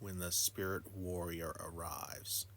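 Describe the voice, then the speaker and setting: A put-on character voice at a fairly slow pace, over clear background noise. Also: man, very deep, low pitch for a man. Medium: solo performance. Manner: grim.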